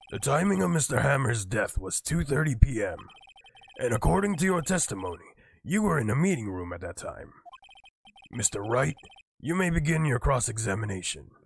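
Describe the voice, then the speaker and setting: A man's put-on character voice at medium pitch, fairly quick, with very wide pitch swings and long, frequent pauses. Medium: virtual streamer. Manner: formal, deliberate.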